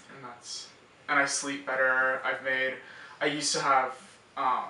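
A man talks at a medium pitch and a fairly slow pace. There is audible room echo and light background noise. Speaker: college student. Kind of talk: patient testimonial interview answer. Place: office.

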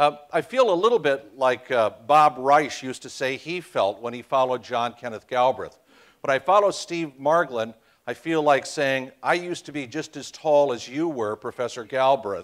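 A man with ordinary pitch variation speaks at a moderate pace, and the background is quiet. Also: big swings in loudness. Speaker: guest lecturer. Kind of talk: lecture. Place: hall.

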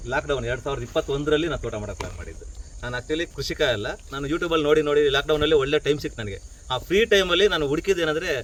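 A man talks with a fairly high pitch and ordinary pitch variation. His loudness swings widely, and background noise is noticeable. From Karnataka, Bengaluru. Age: 50s. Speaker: artist and hobby farmer. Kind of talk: casual talk to visitors.

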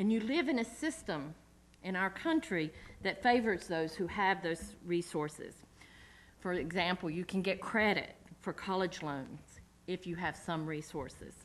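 In a Southern US accent, a woman speaks at a fairly slow pace with a medium pitch and ordinary pitch variation. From US South. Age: 40s. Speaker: community organizer. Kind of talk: lecture. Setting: stage with audience. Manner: halting. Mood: earnest, personal. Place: hall. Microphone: podium.

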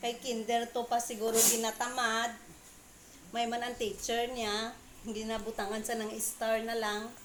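In a room with audible echo, a woman with a fairly high pitch speaks at a fairly slow pace in a monotone, flat intonation. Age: old. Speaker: vlogger. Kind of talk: casual vlog monologue.

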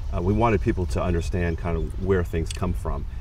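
Very fast and very deep, a man's low-pitched voice comes through a dry sound with no echo and light background noise. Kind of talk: interview answer. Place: garden. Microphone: lapel.

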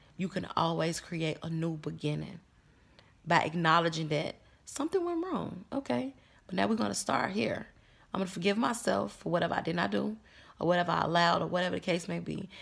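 With a quiet background behind her, a woman speaks fairly quickly in a fairly low voice with vocal fry and very wide pitch swings. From Chicago, US Midwest. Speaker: vlogger. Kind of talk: casual vlog monologue. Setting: lying in bed. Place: home room. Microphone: phone near.

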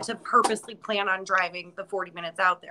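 Over noticeable background noise, a woman with an American accent speaks at a fairly quick pace with ordinary pitch variation. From upstate New York. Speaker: horror museum co-owner; guest. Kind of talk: casual chat. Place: office. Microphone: video call.

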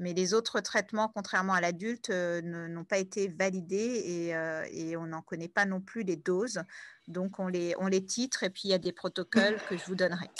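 At medium pitch, a woman talks at a moderate pace with fairly even intonation, the sound dry and close with no echo over a quiet background. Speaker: paediatric cardiologist lecturer. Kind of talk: lecture. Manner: hesitant, many fillers.

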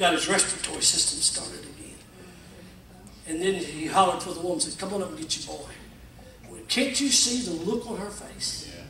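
Over light background noise and audible room echo, a man talks in a high-pitched voice with lively intonation. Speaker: pastor. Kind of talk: sermon. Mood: emotional, folksy storytelling. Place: church. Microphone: camera far.

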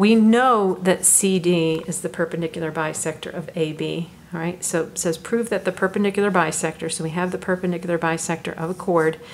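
A woman's normal speaking voice, fairly low in pitch, with fairly even intonation, a fairly quick pace and light background noise. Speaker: math teacher. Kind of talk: tutorial. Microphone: phone near.

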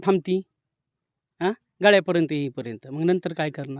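Lively intonation marks this man's voice, heard dry and close with no echo. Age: 40s. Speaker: farmer. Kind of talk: field interview. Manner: animated.

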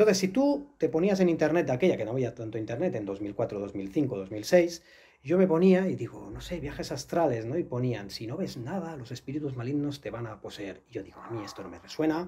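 This man's fairly high voice has a dark, mellow tone, somewhat breathy, with very wide pitch swings and big swings in loudness. He talks at a fairly quick pace with hardly any pauses. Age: 40s. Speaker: astral travel instructor and author; astral travel instructor. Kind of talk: interview. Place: studio.

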